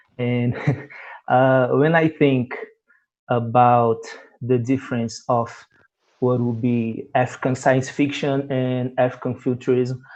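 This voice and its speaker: Very slowly and with long, frequent pauses, a man with a Portuguese accent speaks at medium pitch in a monotone, flat intonation. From Brazil. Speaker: panel moderator, Afrofuturism specialist. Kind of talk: panel interview. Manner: halting.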